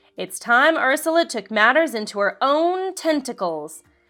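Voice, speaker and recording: In a very clean recording with a silent background, a woman uses a put-on character voice at a high pitch and moderate pace. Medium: read story. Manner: sly, mock-sweet.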